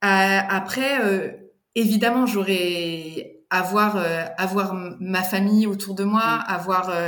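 Over audible room echo, a woman with a medium pitch talks very slowly with fairly even intonation. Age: 40s. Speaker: doula. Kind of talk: testimony. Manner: halting.

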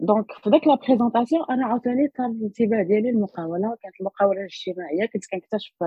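Hardly pausing, a woman speaks at a very fast pace in a fairly high, somewhat breathy voice with ordinary pitch variation. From Morocco, Rabat. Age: young. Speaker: social entrepreneur and doctoral researcher. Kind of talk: interview. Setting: remote recording.

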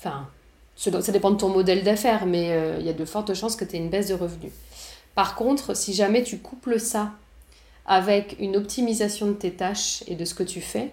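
A woman speaks at a moderate pace with medium pitch. Hers is an ordinary speaking voice with ordinary pitch variation. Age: 30s. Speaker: entrepreneur and communication teacher. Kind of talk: interview.

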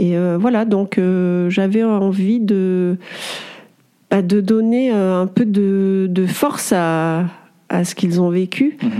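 Speaking very slowly, a woman keeps her loudness very even. Her pitch is medium. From France, Auvergne (Clermont-Ferrand). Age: 40s. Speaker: sculptor. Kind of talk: interview.

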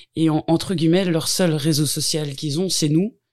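Her voice sits very deep and low for a woman, moving at a moderate pace with fairly even intonation on a very clean recording with a silent background. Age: 40s. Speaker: home care worker. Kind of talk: interview. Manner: hesitant.

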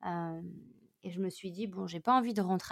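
On a very clean recording with a silent background, a woman speaks at a fairly low pitch with ordinary pitch variation, the sound dry and close with no echo. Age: 30s. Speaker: meditation teacher and yoga instructor. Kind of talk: casual interview.

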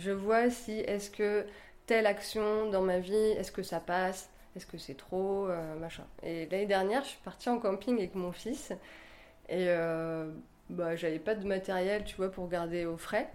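At a fairly slow pace, a woman talks at medium pitch with ordinary pitch variation and big swings in loudness. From rural France. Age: 40s. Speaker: office worker and yoga teacher. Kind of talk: casual interview at home. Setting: home kitchen. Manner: hesitant, many fillers.

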